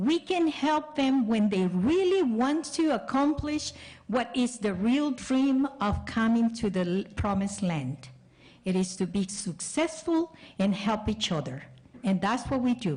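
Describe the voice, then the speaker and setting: The speaker has a Spanish accent and a somewhat breathy voice, talking at a fairly slow pace. Pitch swings very widely while loudness stays very even. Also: woman, fairly high pitch for a woman. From El Salvador. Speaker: school board member and candidate. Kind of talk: candidate forum answer.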